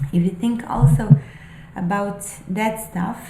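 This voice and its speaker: Spoken very slowly with a non-native accent, the voice carries audible room echo. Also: woman. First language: not English. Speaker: spiritual vlogger and aspiring novelist. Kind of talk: casual monologue, musings. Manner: halting, many fillers.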